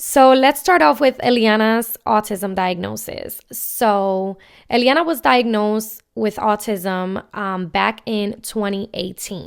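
In a very clean recording with a silent background, a woman speaks at a very slow pace with hardly any pauses. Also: fairly high pitch for a woman, ordinary pitch variation. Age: 20s. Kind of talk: personal storytelling monologue. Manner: casual with many filler ums.

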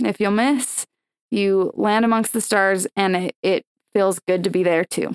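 A woman with a normal speaking voice and an American accent talks fairly slowly at a medium pitch, with fairly even intonation and very even loudness, in a dry, close sound with no echo. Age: 20s. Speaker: professional cheerleader and dancer. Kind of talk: interview conversation.

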